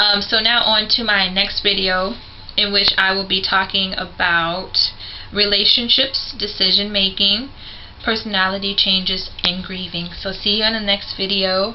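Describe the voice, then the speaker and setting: A woman speaks at a moderate pace and medium pitch in a monotone, flat intonation. Audible room echo and noticeable background noise surround her. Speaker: vlogger sharing concussion recovery experience. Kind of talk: personal vlog talk to camera. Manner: hesitant with frequent fillers.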